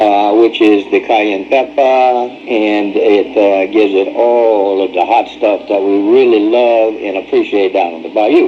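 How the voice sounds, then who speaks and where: Against noticeable background noise, a man of medium pitch speaks with fairly even intonation. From New Orleans area, Louisiana. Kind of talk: home instructional narration.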